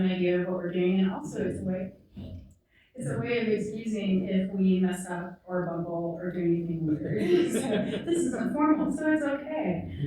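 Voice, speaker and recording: A soft-spoken woman at medium pitch and moderate pace, with noticeable background noise and audible room echo. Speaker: university literature scholar. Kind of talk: moderated panel conversation. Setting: museum event with live audience.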